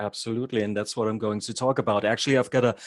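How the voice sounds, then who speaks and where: This man speaks with a German accent. His intonation is fairly even. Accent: German accent speaking English. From Germany. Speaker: hypnotherapist and havening trainer. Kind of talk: online workshop presentation. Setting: video call. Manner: occasionally halting.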